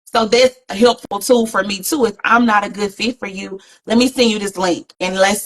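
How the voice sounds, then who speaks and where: Animated in tone, a woman speaks with ordinary pitch variation in a dry, close sound with no echo. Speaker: therapist. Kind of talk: casual chat. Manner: loud.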